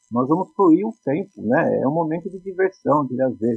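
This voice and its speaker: The speaker is a man with a fairly high pitch. His voice sounds dry and close, without echo. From Brazil, Poá (São Paulo state). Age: 50s. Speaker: philosophy teacher. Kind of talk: casual chat.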